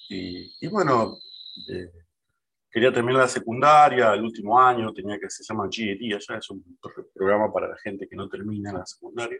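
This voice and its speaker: Delivered with big swings in loudness, a man's bright, sharp tone moves at a moderate pace, with medium pitch and ordinary pitch variation. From Argentina, San Fernando (Buenos Aires area). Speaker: data and technology professional. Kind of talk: casual interview.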